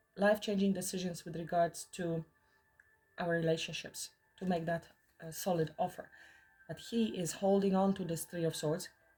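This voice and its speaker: With music in the background, a woman speaks at a moderate pace with a fairly low pitch and monotone, flat intonation. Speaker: tarot reader. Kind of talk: tarot reading monologue. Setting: in the mountains.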